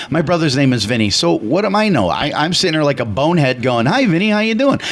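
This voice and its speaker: Through noticeable background noise and audible room echo, an animated speaker with an American accent races at a very fast pace, with very wide pitch swings and very even loudness. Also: man. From US Midwest, Chicago. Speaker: radio talk show co-host. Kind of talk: casual radio talk. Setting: radio studio.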